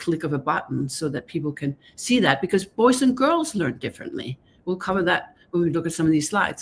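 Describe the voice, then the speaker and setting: With a Danish accent, a woman talks at a very fast pace in a medium pitch. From Denmark, Copenhagen. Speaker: author and gender researcher. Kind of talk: interview on a live stream.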